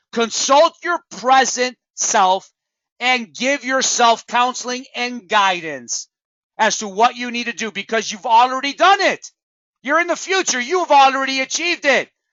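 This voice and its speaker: Loud and passionate in an animated tone, a man with an extremely high pitch uses lively intonation at a fairly slow pace. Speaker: network marketing trainer. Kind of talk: motivational training talk. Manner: passionate, animated.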